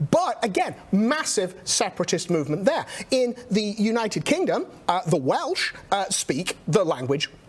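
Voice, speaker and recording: Very wide pitch swings run through a man's speech in an American accent. Noticeable background noise is present. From England. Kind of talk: panel discussion.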